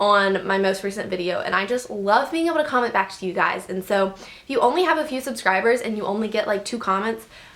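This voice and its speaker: Speaking at a very fast pace, a woman sounds animated, her pitch fairly high. Noticeable background noise sits behind her. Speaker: YouTuber. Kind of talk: vlog advice talk.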